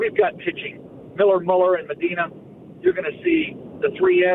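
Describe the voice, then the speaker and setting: Amid noticeable background noise, a man speaks at a moderate pace in a high pitch. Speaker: sports radio caller, longtime fan. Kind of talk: call-in fan opinion. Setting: phone call.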